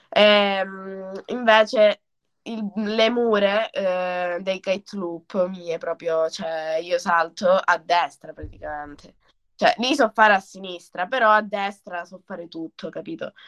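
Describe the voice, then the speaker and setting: Very slowly, a woman speaks at medium pitch with ordinary pitch variation and big swings in loudness. The sound is dry and close, without echo. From Italy, Calabria (Crotone). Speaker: kitesurf athlete. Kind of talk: casual chat.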